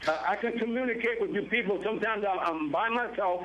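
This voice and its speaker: A high-pitched man at a fairly quick pace with ordinary pitch variation, amid noticeable background noise and audible room echo. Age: 70s. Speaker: caller. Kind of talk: phone-in chat. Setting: phone call. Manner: halting.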